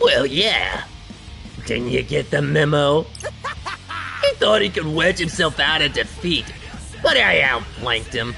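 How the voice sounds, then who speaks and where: Over clear music in the background, a man performs a put-on character voice. His pace is fairly slow. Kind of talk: comic streamer overacting. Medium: game stream. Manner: swaggering, taunting.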